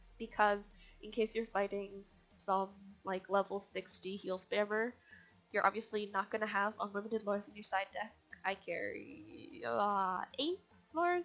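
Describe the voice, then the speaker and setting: A woman's medium-pitched voice with music in the background. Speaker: gaming video creator. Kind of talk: gameplay tutorial. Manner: casual, filler-heavy.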